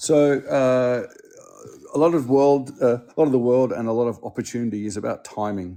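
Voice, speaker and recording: Speaking with an Australian accent, a man with a dark, mellow tone and medium pitch keeps a moderate pace, showing ordinary pitch variation and big swings in loudness. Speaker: school dean and educator. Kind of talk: interview. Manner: halting.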